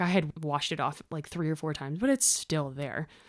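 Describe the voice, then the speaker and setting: A woman with a Canadian accent talks at a fairly quick pace in a very deep, low pitch with ordinary pitch variation, on a very clean recording with a silent background. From Ontario, Canada. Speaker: firefighter and fitness competitor. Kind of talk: interview.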